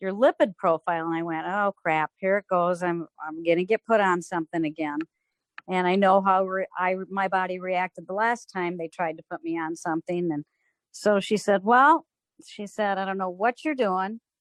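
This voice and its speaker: A woman speaks in an ordinary speaking voice at medium pitch and a moderate pace, with ordinary pitch variation. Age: 60s. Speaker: customer giving product testimonial. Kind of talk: testimony.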